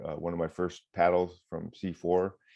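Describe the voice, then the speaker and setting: With an Upper Midwest accent, a man speaks at a moderate pace in a very deep, low pitch. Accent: Upper Midwest American. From Michigan. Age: 60s. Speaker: retired firefighter and water safety educator. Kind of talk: interview.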